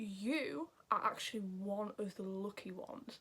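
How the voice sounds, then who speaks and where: A woman with a Yorkshire accent speaks in a fairly high pitch. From Yorkshire, northern England. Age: 20s. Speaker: YouTuber giving advice. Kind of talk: casual advice vlog.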